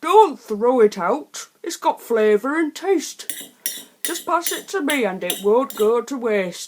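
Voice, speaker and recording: A female-sounding voice in a put-on character voice speaks at a fairly slow pace with a fairly high pitch. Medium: read story.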